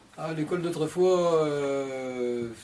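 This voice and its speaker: The man's voice sits fairly high in pitch. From western France, Vendée. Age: 70s. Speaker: retired interviewee. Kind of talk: interview. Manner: hesitant, many fillers.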